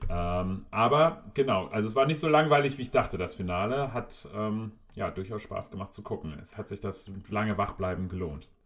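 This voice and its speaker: A man with a plain, everyday voice and a fairly low pitch speaks at a moderate pace with hardly any pauses. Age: 30s. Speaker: podcast co-host. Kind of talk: casual chat.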